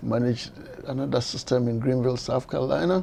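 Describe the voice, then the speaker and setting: Noticeable background noise accompanies a man of medium pitch speaking with ordinary pitch variation. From Ghana. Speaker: transit administrator. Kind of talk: interview. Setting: his office.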